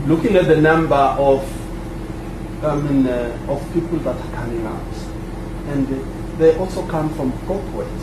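A man speaks with fairly even intonation. The recording has audible room echo and noticeable background noise. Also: fairly high pitch for a man, moderate pace. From Swaziland. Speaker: migrant miners' association representative. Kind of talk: panel discussion. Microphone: poor sound quality.

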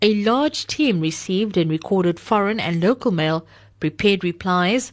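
A woman speaks at a moderate pace and medium pitch, with lively intonation and an unremarkable speaking voice. The background is quiet. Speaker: book reviewer. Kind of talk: reading aloud.

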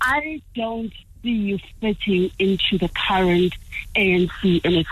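The voice is somewhat breathy, with lively intonation. It moves at a very slow pace with very even loudness. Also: woman. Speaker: caller. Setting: phone call.

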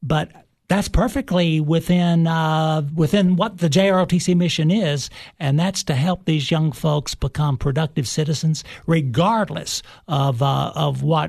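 Over a quiet background, a man with a Tennessee accent speaks at a moderate pace, his fairly high pitch showing ordinary variation. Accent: Southern US (Tennessee). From Cookeville, Tennessee. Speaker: high school ROTC instructor, retired army colonel. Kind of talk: interview. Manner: formal, frequent uhs.

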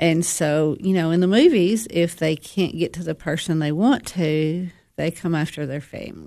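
Against a quiet background, a woman with a Tennessee accent speaks at a fairly low pitch and a moderate pace. She hardly pauses, and her pitch varies in an ordinary way. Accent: Southern US (Tennessee). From DeKalb County, Tennessee. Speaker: counselor sharing recovery story. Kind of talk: testimony.

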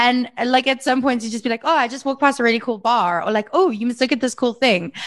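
Against a quiet background, a woman speaks with a high pitch. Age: 30s. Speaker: podcast host. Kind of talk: casual chat.

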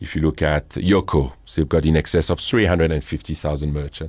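With a French accent, the speech moves at a moderate pace. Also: man. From northern France. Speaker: company founder and CEO. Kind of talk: interview. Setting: studio.

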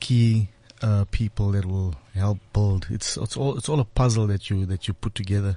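The voice has a dark, mellow tone. It sounds somewhat breathy. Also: man. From South Africa. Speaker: business owner. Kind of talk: preaching-style discussion.

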